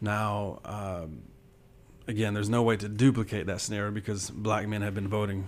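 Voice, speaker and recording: In an audibly echoing room, a man with an American accent speaks fairly quickly in a fairly low, monotone, flat voice. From US South, southwest Georgia. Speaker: history professor. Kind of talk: interview.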